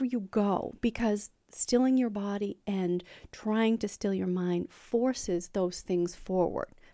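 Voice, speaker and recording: Dark and mellow in tone, a woman speaks at a fairly slow pace with fairly even intonation. The recording is very clean with a silent background and sounds dry and close with no echo. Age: 50s. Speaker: real estate agent podcast host. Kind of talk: casual interview chat.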